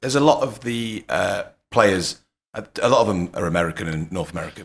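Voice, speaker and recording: A man with an English Midlands accent, talking at a very fast pace, with very wide pitch swings. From England (Leicester). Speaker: podcast host. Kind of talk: casual podcast interview.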